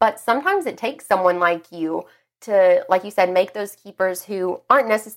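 The recording is very clean, with a silent background. A woman uses an ordinary speaking voice at medium pitch, moderate pace and ordinary pitch variation. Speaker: interviewer. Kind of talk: casual interview chat. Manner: casual, filler-heavy, chatty.

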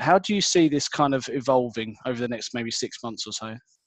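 A man with an ordinary speaking voice at a fairly quick pace. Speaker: podcast host and recruiter. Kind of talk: casual interview chat. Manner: friendly, conversational.

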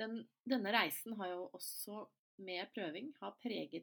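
Speaking at a fairly slow pace, a woman talks with vocal fry. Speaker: podcast host. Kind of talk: solo podcast monologue.

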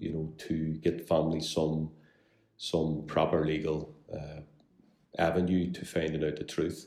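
This voice comes in a Belfast accent with a dark, mellow tone. Its intonation stays monotone and flat. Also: man. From Northern Ireland, West Belfast. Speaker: solicitor. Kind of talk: interview. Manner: halting, many fillers and repeats.

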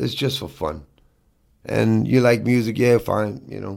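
Vocal fry colors a man's speech at a moderate pace with ordinary pitch variation. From New York (Brooklyn). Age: 50s. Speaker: hardcore band vocalist. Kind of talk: casual chat.

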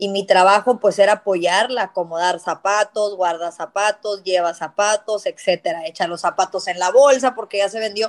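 With hardly any pauses, a woman speaks in an ordinary speaking voice at medium pitch and a moderate pace, her intonation fairly even, in a dry, close sound with no echo. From South Texas border (Hidalgo). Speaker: entrepreneur. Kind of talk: interview.

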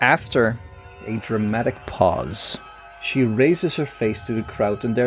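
What we hear is plain reading aloud.

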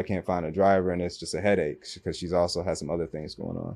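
Words rush out at a very fast pace in a dark, mellow tone. The background is quiet. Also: man. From Kentucky (Louisville), later Michigan near Detroit. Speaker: entrepreneur, sports media business owner. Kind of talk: casual interview chat.

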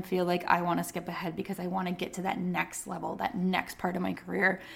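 Using a plain, everyday voice, a woman talks at a medium pitch and a fairly quick pace. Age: 30s. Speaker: nurse and nursing podcast host. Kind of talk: casual solo podcast talk. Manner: conversational.

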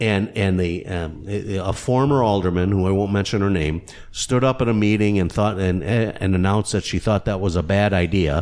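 A man talks in a normal speaking voice with a fairly low pitch and ordinary pitch variation. His loudness stays very even. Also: moderate pace, hardly any pauses. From Kenosha, Wisconsin. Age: 60s. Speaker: funeral home owner and former city councilman. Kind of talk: casual interview.

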